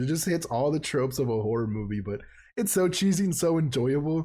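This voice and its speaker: A man talks very fast with a dark, mellow tone and a fairly high pitch. His voice is somewhat breathy, with very wide pitch swings. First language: Spanish. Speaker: podcast co-host. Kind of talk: casual chat.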